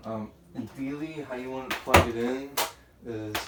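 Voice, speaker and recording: The intonation stays fairly even. Background noise is noticeable throughout. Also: man. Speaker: tech tutorial youtuber. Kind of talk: casual tutorial. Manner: halting, many fillers.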